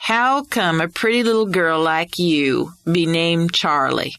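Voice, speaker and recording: A female-sounding voice puts on a character with a drawling West Texas accent. The pitch sits in the middle, and the pace is fairly slow. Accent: West Texas drawl. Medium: read story. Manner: courteous, folksy, drawling.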